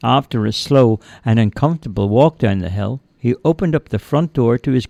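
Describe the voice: Lively intonation throughout a plain read-aloud passage.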